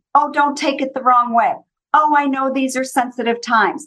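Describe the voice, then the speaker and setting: The speaker has a Minnesotan accent. The intonation stays fairly even. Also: woman. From US East Coast. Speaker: consultant and trainer. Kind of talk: interview conversation.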